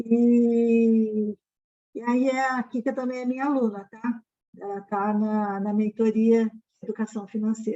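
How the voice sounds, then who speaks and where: Fairly high in pitch yet dark and mellow in tone, a woman's voice runs at a fairly slow pace with monotone, flat intonation. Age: 60s. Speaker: financial education mentor. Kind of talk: live stream Q&A. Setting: online live stream. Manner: casual, filler-heavy.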